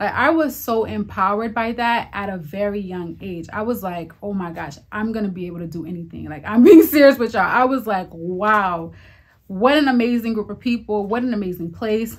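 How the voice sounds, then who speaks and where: A woman with an American accent talks at a fairly quick pace, somewhat breathy, her loudness swinging widely. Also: lively intonation. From Maryland, US (Haitian-born). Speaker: vlogger. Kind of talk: casual vlog monologue. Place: home room.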